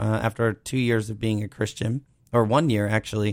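In an ordinary speaking voice, a man with an American accent talks at a moderate pace, his fairly low pitch held in fairly even intonation, on a very clean recording with a silent background. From Cape Cod, Massachusetts. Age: 30s. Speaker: church planter, pastor. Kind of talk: interview testimony.

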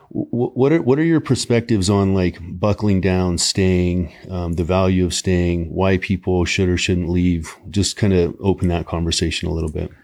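Over noticeable background noise, a man speaks at a moderate pace with hardly any pauses. His pitch is very deep and low, with ordinary variation. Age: 40s. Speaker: podcast host. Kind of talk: casual chat.

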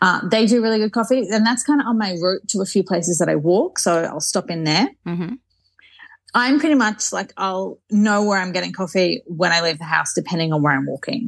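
In an Australian accent, a woman talks at a fairly quick pace in a medium pitch. Her intonation is lively. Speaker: Instagram creator living in Paris. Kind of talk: casual interview chat.

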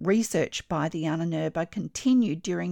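A woman with an Australian accent speaks in a fairly low voice and a dramatic tone, at a moderate pace with ordinary pitch variation. The sound is dry and close with no echo, against a quiet background. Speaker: textile artist and podcast host. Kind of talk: history documentary narration, scripted and read in a storytelling tone. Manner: measured, clear and expressive, with a dramatic, storytelling edge.

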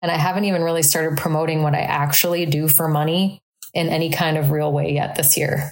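A woman with a very deep, low pitch talks very fast in a flat monotone, her loudness very even throughout. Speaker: podcast host, life coach. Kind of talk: solo monologue podcast. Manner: casual, riffing.

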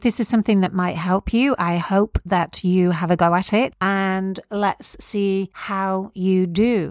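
A woman with a British accent talks at a fairly slow pace with hardly any pauses. The recording is very clean, with a silent background and a dry, close sound with no echo. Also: fairly even intonation, very even loudness. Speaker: podcast host and crystal healing teacher. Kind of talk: spiritual teaching monologue. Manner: warm, gentle.

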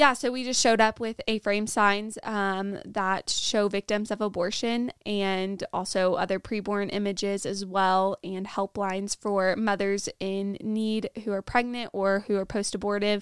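Fairly slow with hardly any pauses, the speech has fairly even intonation and a dry, close sound with no echo on a very clean recording with a silent background. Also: woman. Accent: American. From Nebraska, US Midwest. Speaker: guest, pro-life outreach volunteer. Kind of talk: casual podcast debrief chat. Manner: sometimes struggles with words.

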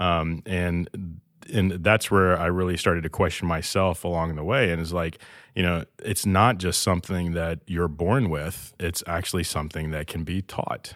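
Fairly even intonation and a moderate pace mark this speaker with an American accent on a very clean recording with a silent background. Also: man, very deep, low pitch for a man. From Alabama, US South. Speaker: entrepreneurship center director. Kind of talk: interview.

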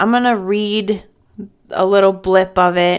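This woman has a medium pitch, ordinary pitch variation and a fairly slow pace. The recording is very clean with a silent background. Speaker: podcast host. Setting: home recording, solo. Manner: storyteller's read-aloud cadence, dramatic and measured; casual, chatty.

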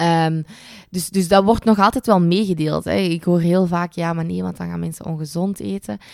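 Her speech keeps a moderate pace and ordinary pitch variation. The woman is recorded very cleanly against a silent background. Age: 20s. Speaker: dietitian and podcast host. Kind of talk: casual solo podcast monologue.

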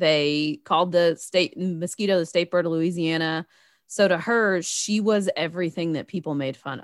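Moderate in pace, the speech carries a Southern US accent. The recording is very clean and silent behind it, with a dry, close sound and no echo. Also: woman, fairly low pitch for a woman, fairly even intonation, big swings in loudness. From Tennessee. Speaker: podcast co-host. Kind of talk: casual chat about movie.

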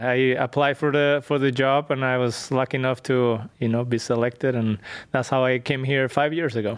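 With a Spanish accent, a man speaks at a moderate pace in a monotone, flat delivery, his loudness very even. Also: medium pitch for a man. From northwestern Spain. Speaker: genetics researcher. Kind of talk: interview. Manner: halting, many fillers.

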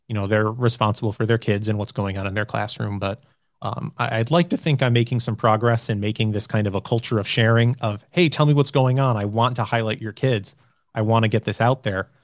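Against a quiet background, a man with an American accent and an unremarkable speaking voice talks at a fairly quick pace with fairly even intonation. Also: medium pitch for a man. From New York State, Troy. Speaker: school communications specialist. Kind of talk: interview. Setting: school media room, filmed interview.

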